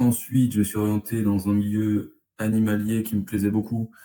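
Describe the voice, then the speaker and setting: A fairly low-pitched man with a dark, mellow tone at a fairly slow pace. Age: 20s. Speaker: interviewee, former salesperson now manager. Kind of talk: interview. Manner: hesitant, many fillers.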